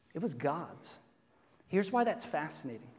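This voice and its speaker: A man at a moderate pace with very wide pitch swings and audible room echo. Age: 30s. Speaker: pastor. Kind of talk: sermon. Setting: church. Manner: casual and joking.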